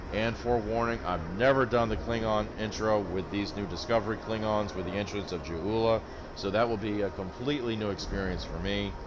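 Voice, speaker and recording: With noticeable background noise and audible room echo, a man talks at a fairly quick pace with hardly any pauses. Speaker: gaming YouTuber. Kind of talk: gameplay commentary outro. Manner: halting.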